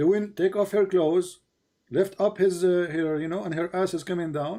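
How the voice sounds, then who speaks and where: Speaking at a moderate pace, a man has a high pitch and a dark, mellow tone. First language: not English. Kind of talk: heated debate. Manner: animated.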